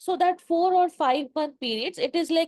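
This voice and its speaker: A woman at a moderate pace, with a Bengali accent. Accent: Indian English (Bengali). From eastern India (Bengal). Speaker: event host / moderator. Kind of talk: panel interview dialogue. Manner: halting, many fillers.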